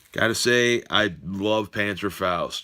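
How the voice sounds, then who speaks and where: A man speaks with fairly even intonation in a bright, sharp tone. The recording is very clean, with a silent background. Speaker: metal music collector YouTuber. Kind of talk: casual collection show-and-tell video. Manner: hesitant with many fillers.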